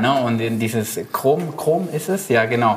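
Amid noticeable background noise and audible room echo, a man with a Spanish accent talks fairly slowly at a medium pitch. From Argentina, Buenos Aires. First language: Spanish (speaking German). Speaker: illustrator and designer. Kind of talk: casual chat.

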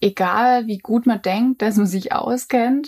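A dark, mellow tone comes through. It belongs to a woman. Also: dry, close sound with no echo. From near Stuttgart, Swabia, Germany. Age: 20s. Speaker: journalist and coworking space founder. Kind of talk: casual chat.

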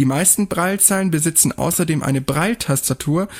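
Here is a man with a plain, everyday voice, fairly high in pitch and at a fairly quick pace. His pitch varies in an ordinary way, and the sound is dry and close with no echo. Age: 20s. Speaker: podcast host, blind student. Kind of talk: explainer talk.

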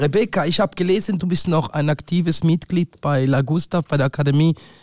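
This man talks at a fairly quick pace, and the sound is dry and close with no echo. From Thurgau, eastern Switzerland. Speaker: podcast host. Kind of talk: casual chat. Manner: animated.

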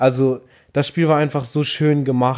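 Over a very clean recording with a silent background, a man with a dark, mellow tone speaks at a medium pitch in a monotone, flat intonation. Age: 20s. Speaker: podcast co-host, university student. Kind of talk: casual chat. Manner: calm, moderate delivery.

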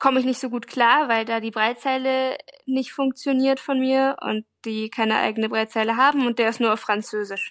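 A woman speaks in a flat, monotone way, recorded with a dry, close sound and no echo. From Hanover, northern Germany. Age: 20s. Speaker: blind volunteer abroad, student. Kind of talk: interview.

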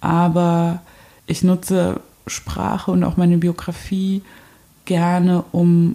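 Her intonation is monotone and flat. The woman's pitch sits fairly low. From eastern Germany (Saxony, Zwickau). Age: 30s. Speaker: installation artist. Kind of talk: interview. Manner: hesitant with many fillers.

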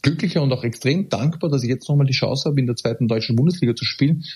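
A very fast, somewhat breathy voice with an Austrian accent, dark and mellow in tone, ordinary pitch variation, in a very clean recording with a silent background. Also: man. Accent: Austrian German, some dialect. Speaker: professional footballer. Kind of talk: casual interview.

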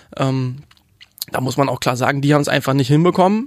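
A man talks very fast at a fairly high pitch, keeping his intonation fairly even. The sound is dry and close, with no echo. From Hamburg, Germany. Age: 20s. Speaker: youth politician. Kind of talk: interview. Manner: hesitant with fillers.

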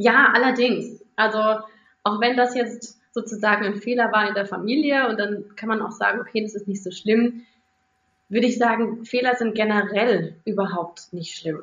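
A woman's unremarkable speaking voice, fairly high in pitch, with fairly even intonation and a moderate pace. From Rhineland-Palatinate, Germany. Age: 30s. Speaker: primary school teacher. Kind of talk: interview for a children's podcast.

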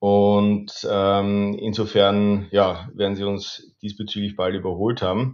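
The delivery is very slow, with hardly any pauses. Intonation stays monotone and flat. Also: man, fairly low pitch for a man. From Austria, Lower Austria (Bad Vöslau). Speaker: trade diplomat. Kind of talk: interview. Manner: hesitant fillers.

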